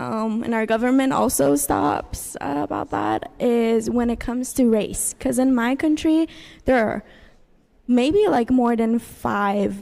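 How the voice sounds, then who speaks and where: Fairly slow delivery from a woman with a fairly high pitch. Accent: Persian. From Iran. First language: Persian. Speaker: university student. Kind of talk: class discussion. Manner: halting.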